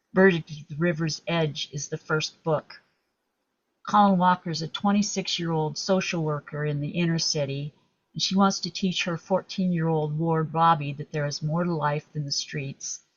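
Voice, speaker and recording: Somewhat breathy, a woman speaks at a moderate pace with a fairly low pitch and fairly even intonation. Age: 70s. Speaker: author. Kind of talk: interview.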